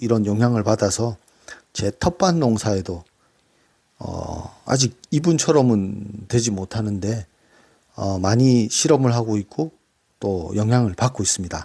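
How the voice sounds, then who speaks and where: A man's very slow, fairly low-pitched voice with a dark, mellow tone, ordinary pitch variation, and long, frequent pauses. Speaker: book reviewer. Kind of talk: casual talk. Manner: halting with fillers.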